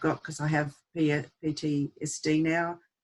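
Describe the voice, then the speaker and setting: A woman speaks in a flat monotone at a very deep, low pitch, on a very clean recording with a silent background. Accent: Australian. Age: 60s. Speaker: abuse survivor and advocate. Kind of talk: testimony. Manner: halting.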